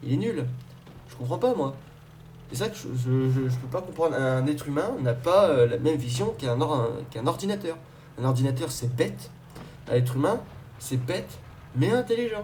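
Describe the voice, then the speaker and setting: A man speaks at medium pitch with lively intonation and long, frequent pauses. Audible room echo surrounds the voice. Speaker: YouTuber. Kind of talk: rant to camera. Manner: fast; halting.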